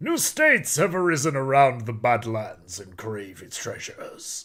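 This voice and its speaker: A man does a gruff, put-on character voice at a medium pitch with a dramatic tone. He speaks at a fairly slow pace. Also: very clean recording, silent background. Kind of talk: narrator, epic. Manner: gruff, dramatic.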